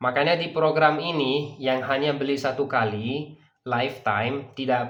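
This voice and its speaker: Over audible room echo, a man speaks in a Persian accent at a fairly slow pace. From Dubai, UAE (grew up there). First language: Persian (speaking Indonesian). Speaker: language teacher. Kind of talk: sales pitch. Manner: filler-laden, hesitant.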